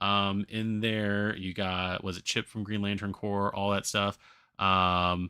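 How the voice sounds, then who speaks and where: On a very clean recording with a silent background and a dry, close sound with no echo, a man speaks very slowly at a fairly low pitch in a bright, sharp tone with monotone, flat intonation. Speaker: gaming streamer. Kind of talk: live stream commentary. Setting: live stream. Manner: slurring, halting; rambling with fillers.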